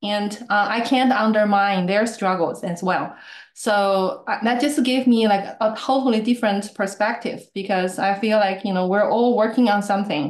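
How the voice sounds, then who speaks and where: With a Chinese accent, a woman speaks at a moderate pace with hardly any pauses. Her voice is medium in pitch and varies in an ordinary way. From China. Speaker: improv student and meetup speaker. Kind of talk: casual chat.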